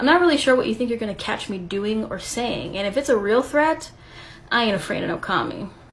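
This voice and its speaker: A woman's fairly high voice with lively intonation and a fairly quick pace, over noticeable background noise. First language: Spanish. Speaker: video creator responding to critic. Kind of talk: response video rebuttal.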